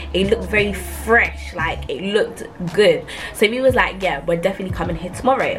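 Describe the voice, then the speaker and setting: A woman talks at a fairly quick pace. Audible room echo and noticeable background noise surround her voice. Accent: London. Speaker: YouTuber. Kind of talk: storytime vlog. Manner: fast; animated.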